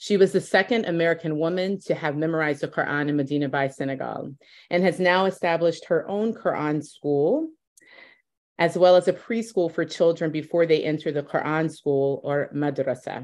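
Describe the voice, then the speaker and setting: A woman speaks at a moderate pace in a fairly low pitch, with ordinary pitch variation and a quiet background. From US South. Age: 40s. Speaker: interviewer. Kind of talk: interview. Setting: video call. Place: home room. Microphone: video call.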